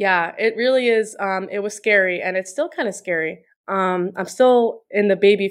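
A woman with an American accent and a plain, everyday voice, medium pitch, ordinary pitch variation and moderate pace, over a quiet background. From New York, Long Island. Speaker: personal trainer. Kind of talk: casual interview.

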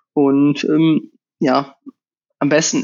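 This man's fairly high voice stays flat and monotone throughout. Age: 20s. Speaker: professional triathlete. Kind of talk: interview. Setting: at home on the couch.

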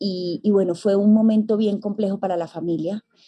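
Her voice sits at medium pitch, with a dark, mellow tone and fairly even intonation. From Colombia. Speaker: psychologist and forgiveness mentor. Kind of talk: interview.

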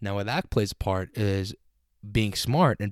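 A man speaks in a normal speaking voice at a moderate pace, with a fairly low pitch. The sound is dry and close, with no echo. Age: 20s. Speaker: podcast host and accountant. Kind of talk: casual solo podcast talk. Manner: informal, filler-heavy.

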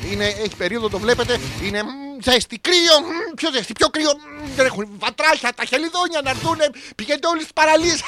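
A man projects a raised voice at an extremely high pitch, with lively intonation and a moderate pace. The sound is dry and close with no echo, though background noise is noticeable. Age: 40s. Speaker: radio host. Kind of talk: comedic monologue. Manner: animated.

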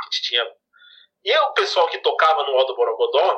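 A man speaks at a moderate pace. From São Paulo, Brazil. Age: 30s. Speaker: mandolinist and music teacher. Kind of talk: interview. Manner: halting, many repetitions.

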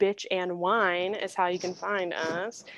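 A woman speaks at a medium pitch, with a dry, close sound and no echo. The background is quiet. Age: 20s. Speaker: podcast co-host. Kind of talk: casual chat. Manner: loud.

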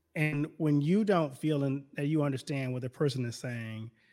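Music plays in the background as a man with an American accent speaks at a moderate pace. His pitch is fairly high, with ordinary pitch variation. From US South, Baton Rouge, Louisiana. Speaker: pastor. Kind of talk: casual chat.

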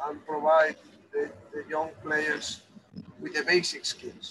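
Someone speaks at a moderate pace with fairly even intonation over noticeable background noise. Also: man. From Spain. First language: Spanish. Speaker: football academy director. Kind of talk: interview. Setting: on a bus. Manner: halting.

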